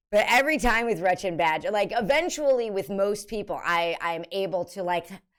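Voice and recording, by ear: Her tone clear and smooth, a woman talks at a fairly quick pace with lively intonation. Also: medium pitch for a woman.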